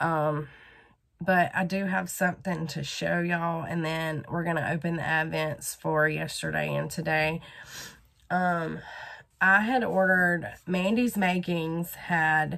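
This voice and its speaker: In a Southern US accent, a woman speaks fairly slowly with a fairly low pitch, a bright, sharp tone, and fairly even intonation. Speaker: crochet vlogger. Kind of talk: casual vlog. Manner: casual with many fillers.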